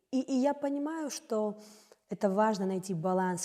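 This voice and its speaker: A woman speaks in a dark, mellow tone. Her intonation is lively. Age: 20s. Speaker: jazz singer. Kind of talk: interview.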